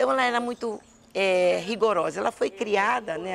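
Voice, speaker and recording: A woman is speaking. Her pace is moderate. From Brazil, western Pará (Alenquer), raised in Belém. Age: 60s. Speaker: state politician. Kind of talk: interview. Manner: halting, with repetitions.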